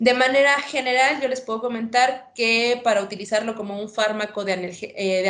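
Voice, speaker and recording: A woman talks at a fairly quick clip with a fairly high pitch and fairly even intonation. Noticeable background noise and audible room echo fill the recording. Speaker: veterinarian. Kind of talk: lecture.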